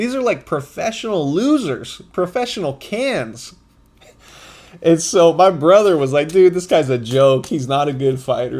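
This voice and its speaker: A man speaks loudly at a moderate pace, his fairly high voice animated and swinging very widely in pitch. The recording is very clean with a silent background. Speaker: podcast host. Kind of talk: casual commentary monologue.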